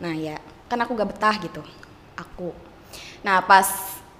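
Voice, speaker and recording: A woman at a fairly slow pace, with big swings in loudness, long, frequent pauses, ordinary pitch variation and noticeable background noise. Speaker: former boarding-school student and vocational trainee. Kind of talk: casual chat. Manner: halting.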